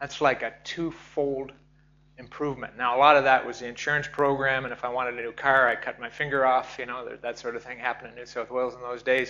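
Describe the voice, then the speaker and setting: In a Canadian accent, a man talks at a very fast pace and medium pitch with monotone, flat intonation and big swings in loudness. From Canada. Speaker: professor, mining safety expert. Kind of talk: conference presentation.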